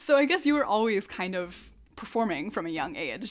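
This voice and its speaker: A woman with an American accent and a plain, everyday voice speaks at a fairly high pitch with lively intonation, in a very clean recording with a silent background. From US Midwest, Twin Cities, Minnesota. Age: 20s. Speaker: podcast host and choreographer. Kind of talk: interview.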